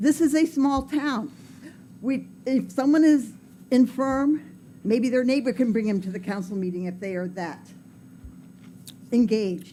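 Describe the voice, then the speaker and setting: At a fairly slow pace, the voice carries a dark, mellow tone and lively intonation, with long, frequent pauses. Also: woman, fairly high pitch for a woman. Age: 70s. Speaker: public commenter. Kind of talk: public comment at council meeting.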